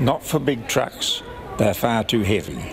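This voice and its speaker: A man with a rather low voice talks at a middling tempo, his pitch moving in a normal way, while clear background noise carries on around him. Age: 90s. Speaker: elderly petitioner. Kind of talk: interview answer.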